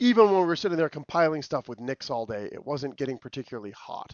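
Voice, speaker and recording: The speech moves at a very fast pace. Its pitch swings very widely. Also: man. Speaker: tech community livestream host. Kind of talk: livestream tech presentation. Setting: livestream with camera and slides.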